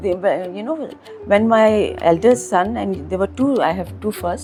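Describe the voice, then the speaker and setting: There is music in the background. A woman speaks at a fairly slow pace. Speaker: school owner and educationist. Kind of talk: interview answer.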